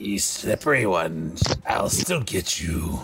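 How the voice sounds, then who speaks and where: Using a put-on character voice, a man speaks at a fairly slow pace with a very deep, low pitch and a menacing tone. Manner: echoing, menacing.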